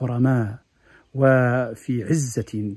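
A man speaks in a somewhat breathy, dark and mellow tone with fairly even intonation, the sound dry with no echo against a quiet background. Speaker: commentator giving an anniversary address. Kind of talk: formal address. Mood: earnest, patriotic. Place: garden. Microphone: phone near.

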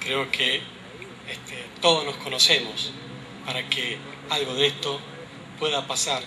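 A man speaking at a very slow pace, with light background noise. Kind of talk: public speech. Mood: earnest, political. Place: street. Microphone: podium.

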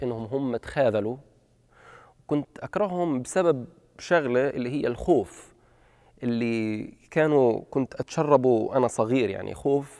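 The man's delivery is fairly slow. Nothing much sounds behind him. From Gaza, Palestine (Beit Hanoun); Gaza, Palestine. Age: 30s. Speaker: documentary subject. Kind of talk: personal testimony. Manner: halting. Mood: reflective, serious. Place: stage. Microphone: lapel.

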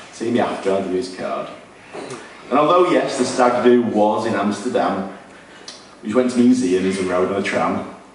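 Against light background noise and audible room echo, a man speaks in an animated tone. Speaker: beat poet performing. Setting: live on stage at a social club with an audience. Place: stage. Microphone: camera far.

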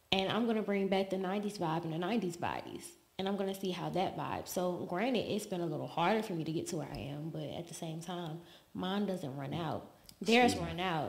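A woman's fairly low voice with vocal fry, a Southern US accent, ordinary pitch variation and a fairly quick pace. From US South (Alabama). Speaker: model and dancer. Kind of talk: casual interview.

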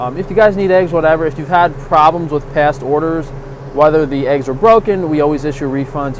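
There is noticeable background noise behind a man talking at a very fast pace with ordinary pitch variation. The sound is dry, with no echo. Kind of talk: casual vlog chat. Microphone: phone near.

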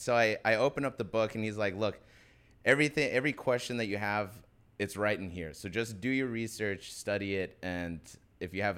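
This man has a fairly low pitch and ordinary pitch variation. He talks at a fairly quick pace. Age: 20s. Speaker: actor and DJ. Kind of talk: casual chat. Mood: relaxed, joking storytelling. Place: studio. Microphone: studio mic.

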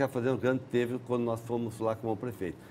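A man's dark, mellow voice at medium pitch over light background noise. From Paraná, Brazil. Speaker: politician; politician interviewee. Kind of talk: TV interview. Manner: halting. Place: studio. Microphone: lapel.

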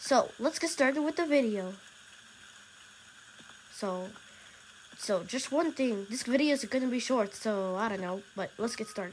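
With lively intonation and a high pitch, a woman speaks with long, frequent pauses against light background noise. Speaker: VR gamer. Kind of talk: casual gameplay commentary.

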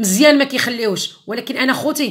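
A woman speaks with a somewhat breathy voice and ordinary pitch variation against a quiet background. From Morocco. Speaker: YouTuber. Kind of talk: angry rant video. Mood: angry, defiant. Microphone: phone near.

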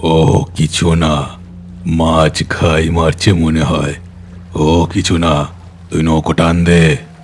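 Over clear background noise, a cartoonish character voice speaks fairly slowly in a monotone, flat intonation. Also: man, very deep, low pitch for a man. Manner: gruff, bossy, calls the boys names.

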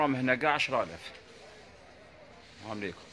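Ordinary pitch variation from a male speaker, light background noise behind him. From Algeria. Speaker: shop seller. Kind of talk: live sales stream. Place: shop. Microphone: phone near.

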